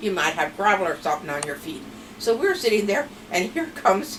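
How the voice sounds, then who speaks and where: A woman with an American accent speaks at a moderate pace in a fairly high pitch, her voice swinging very widely up and down over noticeable background noise. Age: old. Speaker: grandmother telling family stories. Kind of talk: storytelling interview.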